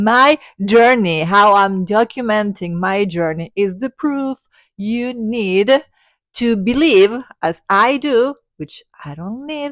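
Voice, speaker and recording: A woman with an Argentine accent talks at a very slow pace and a fairly high pitch, her intonation lively, in a dry, close sound with no echo on a very clean recording with a silent background. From Argentina. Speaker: spiritual content creator. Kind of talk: personal vlog monologue.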